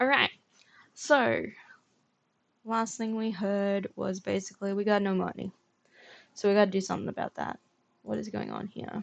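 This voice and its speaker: A woman with an Australian accent speaks at a moderate pace in a relaxed tone. Her pauses are long and frequent. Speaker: gaming streamer. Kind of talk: live game streaming commentary. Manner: casual, relaxed.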